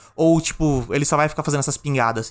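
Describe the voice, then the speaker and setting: A man with an animated tone speaks at a fairly high pitch with ordinary pitch variation. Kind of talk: casual chat.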